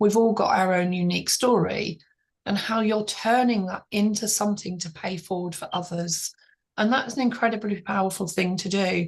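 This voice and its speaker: Somewhat breathy, a woman at a medium pitch speaks at a moderate pace with fairly even intonation. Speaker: author mentor and channel host. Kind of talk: interview.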